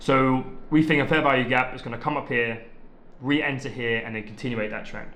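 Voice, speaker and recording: There is audible room echo and noticeable background noise. A man speaks at medium pitch with fairly even intonation. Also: fairly quick pace. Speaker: trading content creator. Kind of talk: tutorial. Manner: fast; casual, many filler ums.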